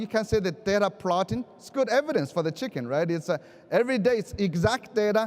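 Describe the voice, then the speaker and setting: A man talks with a Chinese accent and a high pitch. His pitch variation is ordinary. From China. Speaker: education keynote speaker. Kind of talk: conference keynote speech. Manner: halting.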